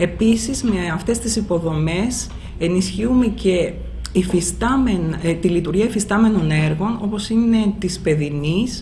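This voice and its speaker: A woman speaks at a fairly slow pace with ordinary pitch variation. Light background noise can be heard. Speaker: municipal water utility official. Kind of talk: press conference statement. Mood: calm, serious. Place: office.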